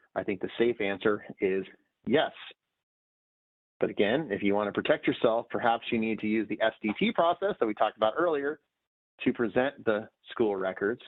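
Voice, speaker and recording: Pausing long and often, a man speaks at medium pitch with ordinary pitch variation. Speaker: judge. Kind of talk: lecture. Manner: fast.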